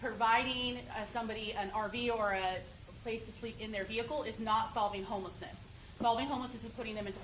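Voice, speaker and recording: Very fast and fairly even in intonation, a woman speaks with a fairly high pitch. Noticeable background noise and audible room echo fill the recording. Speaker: homeless services outreach director. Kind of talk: public meeting Q&A. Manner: loud.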